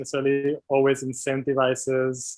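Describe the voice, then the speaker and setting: This man talks at a moderate pace with a non-native accent and a fairly high pitch. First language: not English. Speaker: doctoral researcher in medical anthropology. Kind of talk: interview. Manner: hesitant, many fillers.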